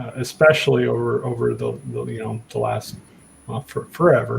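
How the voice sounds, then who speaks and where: A man speaks against noticeable background noise. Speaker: PhD student. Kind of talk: casual discussion. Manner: slow; halting.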